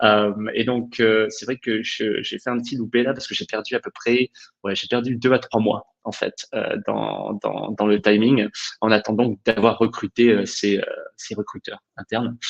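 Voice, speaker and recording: Speaking at a fairly slow pace, a man with a medium pitch keeps a flat, monotone delivery in a dry, close recording with no echo. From England. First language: English (speaking French). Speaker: HR director. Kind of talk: webinar discussion. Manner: hesitant, many fillers.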